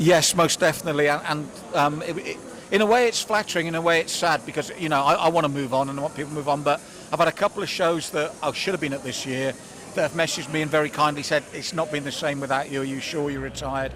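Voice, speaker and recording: With music in the background, a man speaks at a very fast pace, his fairly high pitch held in fairly even intonation. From southern England, Swindon. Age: 60s. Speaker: combat sports commentator. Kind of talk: casual interview. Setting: at a live boxing event.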